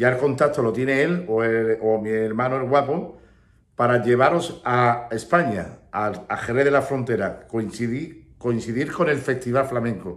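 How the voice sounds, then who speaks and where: A man speaks fairly slowly with ordinary pitch variation, the background quiet. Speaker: flamenco teacher. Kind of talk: casual vlog chat. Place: home room. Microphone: phone near.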